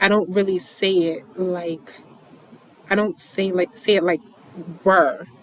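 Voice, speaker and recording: Against noticeable background noise, a woman of medium pitch speaks at a fairly slow pace with ordinary pitch variation. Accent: slight New York. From New York. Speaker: poetry reader and commentator. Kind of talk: casual monologue. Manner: halting, many repetitions.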